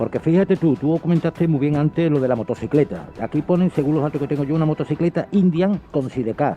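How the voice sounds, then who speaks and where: A man talks at a very fast pace with hardly any pauses. His pitch is fairly high, with ordinary pitch variation. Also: very even loudness. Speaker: co-host in radio conversation. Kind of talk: radio discussion.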